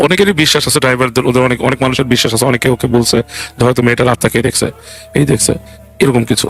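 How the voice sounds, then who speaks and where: Over noticeable background noise, a man of medium pitch speaks with very even loudness and ordinary pitch variation. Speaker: guest storyteller retelling a true ghost story. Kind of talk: casual podcast storytelling, conversational.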